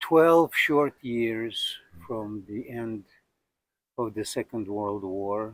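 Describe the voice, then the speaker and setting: A man speaks at a medium pitch with ordinary pitch variation, very slowly and with long, frequent pauses. The recording is very clean, with a silent background. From Russia, Moscow. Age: 60s. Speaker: storyteller recounting his life. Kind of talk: personal memoir interview. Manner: conversational with hesitations.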